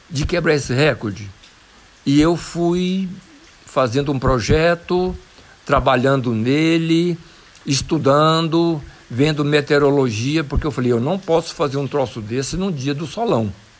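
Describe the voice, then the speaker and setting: This man talks at a fairly slow pace with ordinary pitch variation. His pitch sits fairly high. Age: 60s. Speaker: mountain bike athlete. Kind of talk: interview. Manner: animated.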